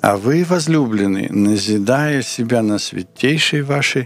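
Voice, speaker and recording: The pace is very slow. The intonation stays lively. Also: man. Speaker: Bible teacher answering questions. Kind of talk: sermon-like Bible teaching.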